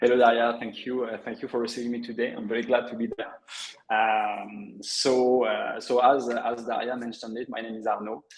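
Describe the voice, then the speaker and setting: A man with a French accent at a medium pitch, fairly quick pace, and monotone, flat intonation. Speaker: affiliate network director. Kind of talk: webinar interview. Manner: hesitant, many fillers.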